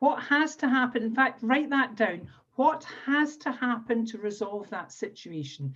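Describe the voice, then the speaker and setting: Lively intonation in a high-pitched female voice. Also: fairly slow pace. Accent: Scottish. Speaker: NLP trainer and coach. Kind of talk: webinar workshop instruction. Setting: video call.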